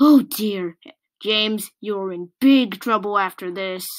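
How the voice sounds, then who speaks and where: On a very clean recording with a silent background, a woman in a put-on character voice speaks at a fairly slow pace and medium pitch. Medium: read story. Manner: kind.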